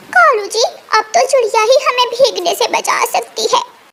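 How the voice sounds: A cartoonish character voice from a woman, squeaky and extremely high-pitched, at a moderate pace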